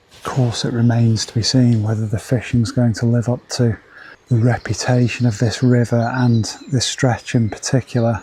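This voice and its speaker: Quiet and somewhat breathy, a man with a medium pitch and a dark, mellow tone speaks at a moderate pace in a monotone, flat intonation, with big swings in loudness. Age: 50s. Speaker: angling video presenter. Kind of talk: outdoor vlog narration. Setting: outdoors on a riverbank. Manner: quiet, keeping voice down.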